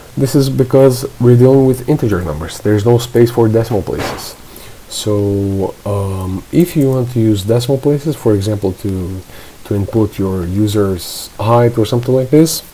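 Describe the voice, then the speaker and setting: Moderate-paced speech in a non-native accent over noticeable background noise. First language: not English. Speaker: programming tutor. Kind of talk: screen-recorded coding tutorial. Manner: halting, with fillers and self-corrections; casual.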